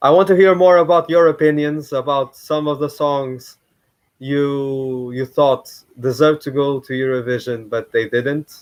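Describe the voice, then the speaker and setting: A man speaks with a Portuguese accent and fairly even intonation. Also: fairly high pitch for a man, fairly slow pace. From Portugal. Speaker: YouTuber. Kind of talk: live stream commentary. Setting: live stream at home. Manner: halting.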